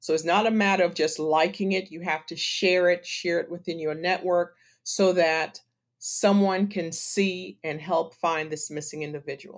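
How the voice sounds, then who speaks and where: Using a normal speaking voice with an American accent, a woman talks at a moderate pace in a fairly low pitch with fairly even intonation. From US, Washington D.C. (born Trinidad). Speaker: nonprofit co-founder, PR professional. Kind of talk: interview.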